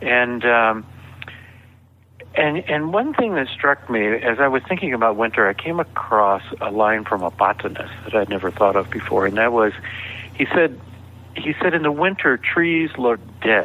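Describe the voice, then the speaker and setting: Over noticeable background noise, a man talks at a moderate pace and medium pitch with lively intonation. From US South (Georgia). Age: 60s. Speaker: author. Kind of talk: interview conversation.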